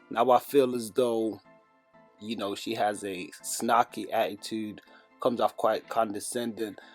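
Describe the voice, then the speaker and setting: With music playing in the background, a man speaks fairly slowly at a medium pitch in a monotone, flat intonation. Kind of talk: casual talk to camera.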